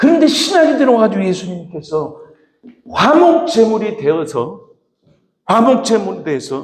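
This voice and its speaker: Pitch swings very widely as a man speaks at a fairly slow pace. Audible room echo surrounds his voice. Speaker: pastor. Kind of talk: sermon.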